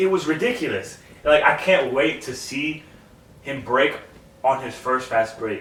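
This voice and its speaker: In a room with audible echo and noticeable background noise, a man speaks in an animated tone at a fairly high pitch and a fairly slow pace, with long, frequent pauses. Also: ordinary pitch variation. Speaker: sports podcast co-host. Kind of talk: casual chat. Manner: stuttering, repeats words.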